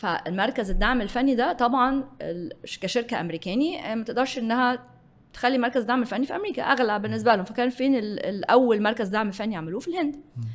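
A high-pitched woman's voice with lively intonation at a fairly quick pace. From Egypt. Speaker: business executive; guest. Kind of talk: interview. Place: studio. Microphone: studio mic.

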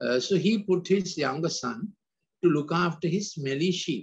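A man's voice, moderately paced, its pitch rising and falling in the usual way. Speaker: preacher or talk giver. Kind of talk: sermon. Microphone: video call.

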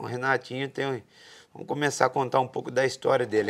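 The man's voice sits at a fairly high pitch. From Brazil. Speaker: podcast host, bull rider; podcast host. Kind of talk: interview. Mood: relaxed, friendly. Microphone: lapel.

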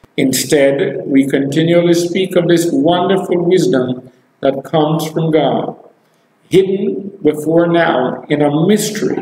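A man with a high pitch and ordinary pitch variation speaks at a fairly slow pace, his loudness very even. There is audible room echo and light background noise. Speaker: preacher. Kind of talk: live online sermon, preaching and prayer. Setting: live video stream. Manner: animated, exclamatory, fervent; rhetorical, repeats phrases for emphasis. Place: church.

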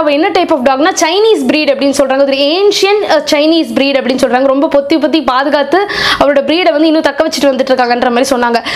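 A woman speaks in a high voice. Her pitch variation is ordinary. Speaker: beauty vlogger. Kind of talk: casual talk to camera. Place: home room. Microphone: lapel.

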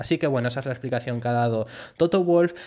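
A man talks with a normal speaking voice at medium pitch. His intonation is lively. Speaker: Formula 1 YouTuber. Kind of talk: news commentary.

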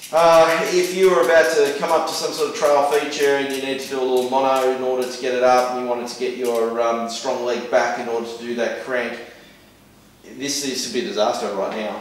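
With strong room echo, a man of medium pitch talks at a fairly quick pace in a fairly even intonation.

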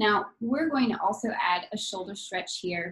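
A somewhat breathy woman's voice, fairly high in pitch, against a quiet background. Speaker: yoga instructor. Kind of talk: guided yoga class. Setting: live video class. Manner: calm, soothing, slow and gentle cueing; light, playful, chatty with laughs. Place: home room. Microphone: video call.

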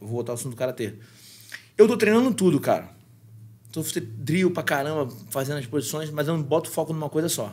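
Speaking at a fairly quick pace, a man with a fairly high pitch sounds somewhat breathy and leaves long, frequent pauses. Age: 30s. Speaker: podcast guest. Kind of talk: casual chat. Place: studio. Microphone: studio mic.

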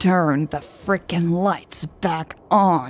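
In a put-on character voice at middle pitch, the speaker growls in an angry tone. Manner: growling, angry.

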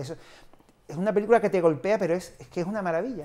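His voice dark and mellow, a man races along at a very fast pace with ordinary pitch variation. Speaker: film club organizer; film commentator guest. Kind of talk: casual interview. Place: studio. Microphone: lapel.

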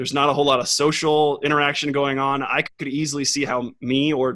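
Against a quiet background, a man talks very fast in a fairly high pitch with a bright, sharp tone and monotone, flat intonation. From Texas, Austin; Texas. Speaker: competitive swimmer; guest. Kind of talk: casual chat. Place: home room. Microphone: studio mic.

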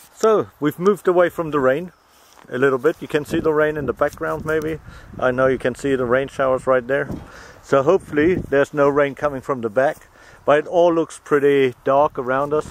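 A man speaks at a moderate pace with fairly even intonation. The sound is dry with no echo, and there is light background noise. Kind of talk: casual vlog chat. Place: open country. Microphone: phone near.

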